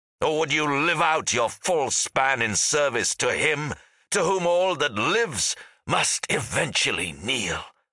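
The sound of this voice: Using a put-on character voice, a man speaks slowly at a medium pitch, with big pitch swings and a bright, sharp tone.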